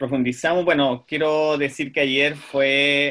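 With a Chilean accent, a man speaks very slowly at medium pitch in a bright, sharp tone. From southern Chile, Puerto Montt. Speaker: speech therapist. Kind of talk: casual chat.

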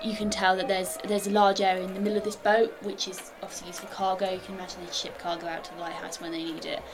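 Over noticeable background noise, a woman talks very fast at a medium pitch, with hardly any pauses. Her loudness swings widely. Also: ordinary pitch variation. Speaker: dungeon master. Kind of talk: tabletop roleplaying game narration, describing scenery. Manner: descriptive, measured, guide-like scene-setting.

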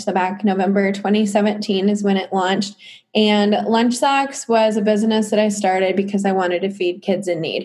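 A woman's plain, everyday voice with an American accent, medium in pitch, fairly even in intonation, at a moderate pace over a quiet background. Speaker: entrepreneur. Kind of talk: casual interview.

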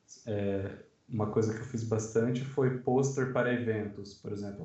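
Audible room echo surrounds a man speaking at a moderate pace. His medium-pitched voice keeps a fairly even intonation. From Sorocaba, São Paulo state, Brazil. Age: 20s. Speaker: designer and book layout artist. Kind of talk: casual chat.

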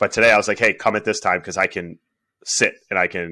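A man is speaking. His pace is very fast. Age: 30s. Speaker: strength coach and massage therapist. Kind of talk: casual chat.

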